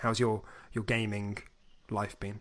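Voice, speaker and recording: In a very clean recording against a silent background, a man speaks at a moderate pace with a fairly low pitch. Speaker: podcast host. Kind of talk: casual chat. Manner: deadpan.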